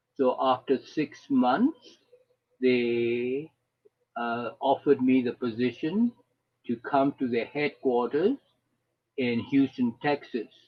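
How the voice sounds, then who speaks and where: In a Burmese accent, a man at medium pitch talks at a very slow pace with long, frequent pauses. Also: fairly even intonation. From Burma (Karen). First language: Karen. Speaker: retired engineer and refugee volunteer. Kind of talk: personal testimony. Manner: halting.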